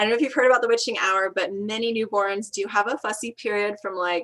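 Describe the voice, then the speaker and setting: Her voice is an unremarkable speaking voice, medium in pitch for a woman, with ordinary pitch variation. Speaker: midwife and doula. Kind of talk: online presentation.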